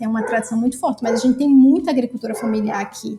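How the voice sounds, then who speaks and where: A woman speaks at a high pitch. She has a northeastern Brazilian accent. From Brazil, Northeast. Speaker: activist and cook. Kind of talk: casual chat.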